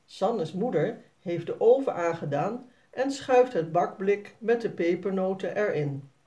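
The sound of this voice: Lively intonation runs through an unforced reading voice.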